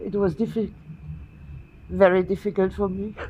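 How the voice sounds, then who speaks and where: A woman with vocal fry at a moderate pace. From Germany. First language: German. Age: 60s. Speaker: guest. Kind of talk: speech at event. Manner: simple short sentences.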